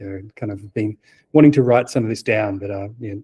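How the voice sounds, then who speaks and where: With an Australian accent and a dark, mellow tone, a man sounds somewhat breathy, his pitch varying in an ordinary way in a dry, close sound with no echo. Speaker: software architect. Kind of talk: conference talk. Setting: meetup talk with audience. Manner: hesitant, many fillers.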